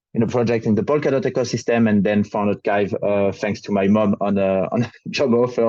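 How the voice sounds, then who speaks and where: In a French accent, a man speaks with a dark, mellow tone and ordinary pitch variation. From France. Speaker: crypto project ecosystem lead. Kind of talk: panel discussion. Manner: halting.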